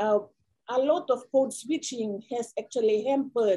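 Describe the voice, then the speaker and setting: A woman speaks with a Papua New Guinean accent, her tone dark and mellow. Her pace is fairly slow with ordinary pitch variation, over a quiet background. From Papua New Guinea, East New Britain. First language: Kuanua. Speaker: education researcher; panelist. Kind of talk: panel discussion; panel discussion answer. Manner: halting, many repetitions. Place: office. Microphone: video call.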